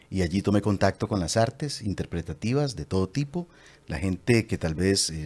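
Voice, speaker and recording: Pitched fairly low, a man speaks at a moderate pace with very wide pitch swings. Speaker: voice actor and commercial announcer. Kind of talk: interview answer.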